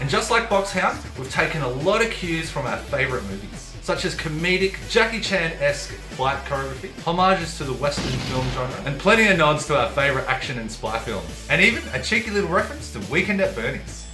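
A man talks at a fairly quick pace with hardly any pauses. Clear music plays in the background. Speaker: filmmaker. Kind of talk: casual talk to camera. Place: home room.

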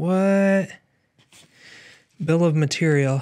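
Speaking at a very slow pace, a man keeps his intonation fairly even. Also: quiet background. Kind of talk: casual exploration commentary. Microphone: phone near.

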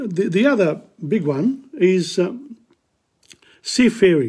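Against a quiet background, a dark, mellow tone moves through very wide pitch swings. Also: man. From southern Italy (Matera, Basilicata); Basilicata, Italy. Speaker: history presenter; presenter. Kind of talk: lecture. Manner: halting. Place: home room. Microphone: phone near.

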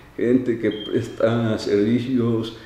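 Audible room echo and light background noise around a man's voice. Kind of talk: interview answer. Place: office. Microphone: handheld.

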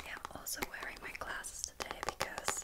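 A woman whispers over clearly audible background noise. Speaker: ASMR creator. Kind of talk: ASMR whispered talk to camera. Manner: soft-spoken, whispered.

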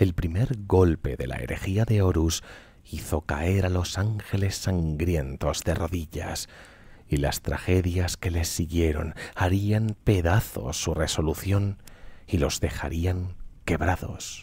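Soft-spoken and somewhat breathy, this voice has a dark, mellow tone and a calm, dramatic delivery at a very slow pace. Its pitch varies in an ordinary way, and the sound is dry with no echo. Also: man, very deep, low pitch for a man. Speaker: streamer reading lore. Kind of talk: storytelling narration (ASMR-style reading of game lore). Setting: live Twitch stream. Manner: slow, calm, soft-spoken, bedtime-story pace with dramatic weight. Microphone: studio mic.

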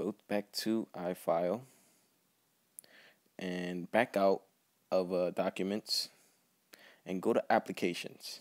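Very slowly and in a flat monotone, a man speaks with a dry, close sound that has no echo. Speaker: tech tutorial youtuber. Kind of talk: tutorial. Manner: casual, hesitant.

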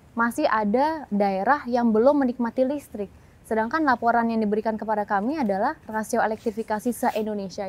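A woman talks at a fairly quick pace with hardly any pauses and a fairly high pitch. Her pitch varies in an ordinary way, and the sound is dry with no echo. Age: 20s. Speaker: member of parliament; interviewee. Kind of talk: TV talk show interview. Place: stadium. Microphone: lapel.

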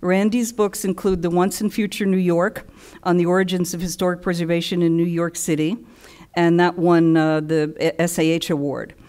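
In an ordinary speaking voice, a woman with a fairly low pitch talks at a moderate pace with fairly even intonation and very even loudness against a quiet background. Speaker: panel moderator. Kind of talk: introduction of panelists. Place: hall.

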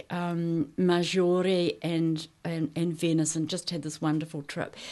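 Against a quiet background, the speaker talks at a very slow pace in a New Zealand accent with monotone, flat intonation. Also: woman. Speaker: artist. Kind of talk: casual chat. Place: studio. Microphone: studio mic.

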